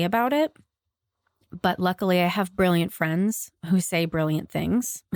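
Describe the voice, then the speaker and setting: A woman with a fairly low pitch is heard on a very clean recording with a silent background, the sound dry and close with no echo. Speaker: podcast host and therapist. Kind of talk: solo podcast intro before reading an article aloud. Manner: somber tone.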